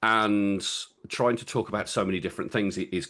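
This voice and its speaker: Over a quiet background, a man with a fairly low voice talks at a fairly quick pace in a strong Birmingham accent. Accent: Birmingham (Brummie), strong. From England, Birmingham. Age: 50s. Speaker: public speaking coach and men's mental health speaker. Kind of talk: podcast interview. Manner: halting, many repetitions.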